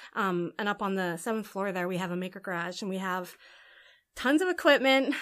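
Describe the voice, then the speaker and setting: A woman speaks at a fairly quick pace in a plain, everyday voice with ordinary pitch variation. The recording is very clean, with a silent background. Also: medium pitch for a woman. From Canada, Alberta (Edmonton). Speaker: tech program manager. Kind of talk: casual interview.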